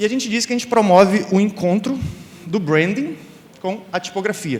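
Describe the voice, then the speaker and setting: High-pitched, a man talks at a moderate pace with ordinary pitch variation. Noticeable background noise runs underneath. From Brazil, Rio de Janeiro state (Campos dos Goytacazes). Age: 30s. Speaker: graphic and type designer, conference speaker. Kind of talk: conference talk. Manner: casual, with many fillers.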